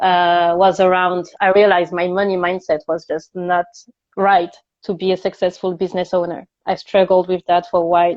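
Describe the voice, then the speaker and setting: A woman with a French accent speaks in a monotone, flat intonation. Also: medium pitch for a woman, moderate pace. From France. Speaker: coach for multilingual job seekers. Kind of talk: casual interview chat. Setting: live stream video call.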